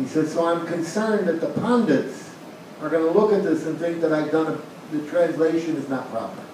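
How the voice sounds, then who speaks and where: Fairly high-pitched man with an American accent, ordinary pitch variation and a fairly quick pace over noticeable background noise. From US. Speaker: monk and spiritual teacher. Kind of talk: lecture with storytelling.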